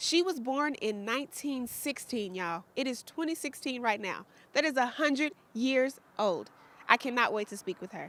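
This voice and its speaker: A woman's high-pitched voice with lively intonation at a moderate pace. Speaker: news show host. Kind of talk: interview questions to camera.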